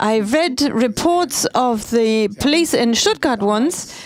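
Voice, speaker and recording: A woman's pitch swings very widely while noticeable background noise carries on. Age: 70s. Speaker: speaker. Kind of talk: speech.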